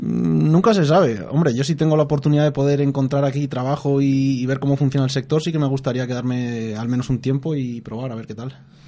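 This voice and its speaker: A man with a Spanish accent talks at a fairly quick pace and a medium pitch, with ordinary pitch variation and hardly any pauses, over noticeable background noise. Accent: Spanish (Spain). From Spain, Madrid. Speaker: mining engineering student. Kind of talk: radio interview.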